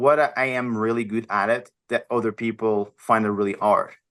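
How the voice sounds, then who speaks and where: Over a quiet background, a man with a Portuguese accent speaks at a medium pitch and a moderate pace. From Portugal, small village. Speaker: health and wellness coach, former model. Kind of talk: podcast interview. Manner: halting.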